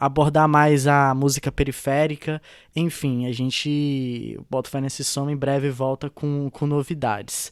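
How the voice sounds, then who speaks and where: A man's fairly high voice, fairly slow and monotone, flat in intonation, in a very clean recording with a silent background. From Brazil, Tocantins (Gurupi). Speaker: podcast co-host, journalist and radio presenter. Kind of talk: casual chat.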